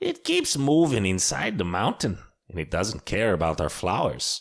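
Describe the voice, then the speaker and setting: In a put-on character voice, a man speaks at a fairly low pitch and a moderate pace on a very clean recording with a silent background. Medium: read story.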